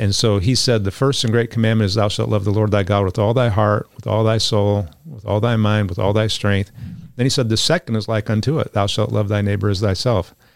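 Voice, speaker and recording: In a plain, everyday voice, a man talks at a fairly quick pace with fairly low pitch and fairly even intonation. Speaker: pastor. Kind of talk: panel discussion on Bible topics.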